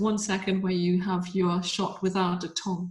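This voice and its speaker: Medium-pitched, somewhat breathy speech from a woman. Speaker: pet photographer. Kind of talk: webinar talk.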